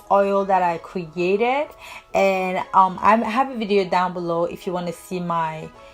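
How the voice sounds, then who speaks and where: A woman with a non-native accent at a moderate pace over noticeable background noise. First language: not English. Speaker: hair tutorial vlogger. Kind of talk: tutorial.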